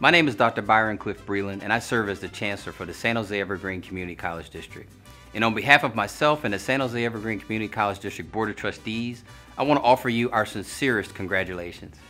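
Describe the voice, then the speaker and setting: A man talks at a very fast pace with ordinary pitch variation and a fairly low voice. Faint music plays in the background. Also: big swings in loudness. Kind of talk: commencement speech. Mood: formal, warm, earnest.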